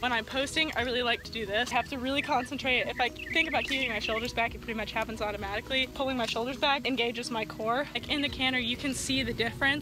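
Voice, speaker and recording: Over noticeable background noise, a woman speaks at a very fast pace with hardly any pauses, a high pitch, and fairly even intonation, in a dry sound with no echo. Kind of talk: casual vlog chat. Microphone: phone near.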